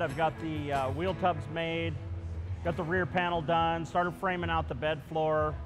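Clear music sits in the background. A man speaks at a moderate pace. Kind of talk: interview answer. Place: workshop. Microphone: lapel.

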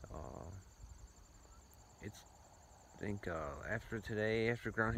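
With audible room echo, a man speaks at a moderate pace in a fairly low pitch with little pitch movement.

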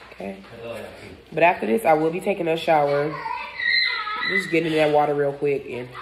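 With crowd noise behind her, a woman talks at a fairly quick pace in a very deep, low voice, with ordinary pitch variation and big swings in loudness. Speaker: food vlogger. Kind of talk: casual mukbang vlog chat. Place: home room. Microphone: phone near.

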